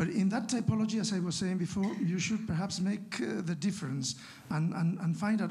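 With a Spanish accent, a man speaks at high pitch and a fairly quick pace. His intonation is lively. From Spain, La Rioja. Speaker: academic discussant; audience member. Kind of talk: academic discussion. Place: hall. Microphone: handheld.

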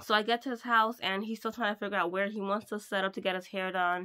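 Against a quiet background, a woman talks at a fairly quick pace in a bright, sharp tone. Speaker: mobile hairdresser vlogger. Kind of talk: casual vlog chat. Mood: annoyed ranting. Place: home room. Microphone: phone near.

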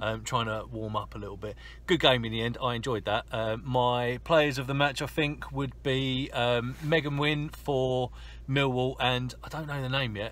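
At a moderate tempo, a man's speech comes through dry, with no echo. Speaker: football vlogger. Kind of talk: casual vlog chat. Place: car. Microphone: phone near.

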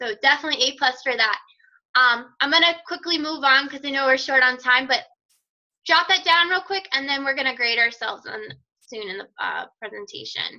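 Speaking in an American accent with a raised, projected voice, the speaker moves at a fairly quick pace with a bright, sharp tone. Loudness swings widely, while pitch varies in an ordinary way. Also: woman, high pitch for a woman. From Virginia, US. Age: 20s. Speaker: fitness business coach and nurse. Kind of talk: presentation on a team call. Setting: phone or web conference call.

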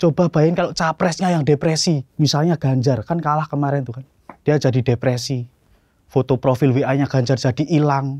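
A man talks at a fairly quick pace in a dark, mellow, somewhat breathy tone, his intonation fairly even and the sound dry with no echo. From Solo, Central Java; Central Java, Indonesia. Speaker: stand-up comedian. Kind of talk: stand-up. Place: stage. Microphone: handheld.

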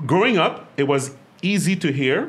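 A man with a Quebec accent speaks in an animated tone. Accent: Québécois French-accented English. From Quebec, Montreal. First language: French. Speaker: podcast host and business owner. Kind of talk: casual chat. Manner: animated, laughs often.

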